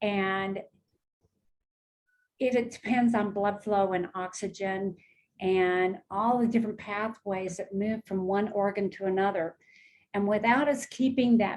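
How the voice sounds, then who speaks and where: A woman with an unremarkable speaking voice talks at a fairly slow pace in a medium pitch with fairly even intonation. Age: 60s. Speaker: wellness product advocate. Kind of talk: casual chat about health products. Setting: live video stream.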